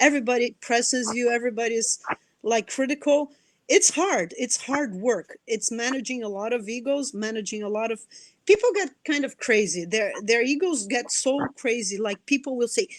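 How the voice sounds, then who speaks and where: With a Brazilian Portuguese accent, a woman speaks at a moderate pace with a high pitch and lively intonation. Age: 40s. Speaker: anthropologist and nonprofit director. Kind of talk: interview. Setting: live video stream. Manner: animated; repeats words, halting starts.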